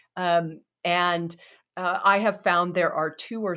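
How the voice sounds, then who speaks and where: Very clean audio with a silent background and a bright, sharp tone. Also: woman. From Hawaii. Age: 50s. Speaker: podcast host. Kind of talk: interview podcast.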